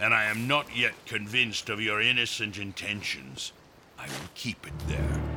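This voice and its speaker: Lively intonation from a man with a fairly low pitch at a moderate pace, amid noticeable background noise. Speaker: army general. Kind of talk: formal, archaic 18th-century speech. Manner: mumbling, mouth kept narrow.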